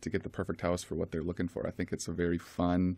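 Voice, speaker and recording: Flat, monotone intonation comes through in an American accent. The recording is very clean, with a silent background. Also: man. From Rochester, Minnesota, US Upper Midwest. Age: 30s. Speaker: real estate agent. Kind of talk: radio interview.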